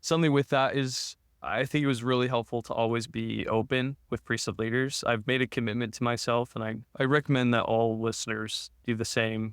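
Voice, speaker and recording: At a fairly quick pace, a man speaks in an ordinary speaking voice, medium in pitch with fairly even intonation. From Utah. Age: 20s. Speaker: podcast guest, law student. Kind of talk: casual interview, personal testimony.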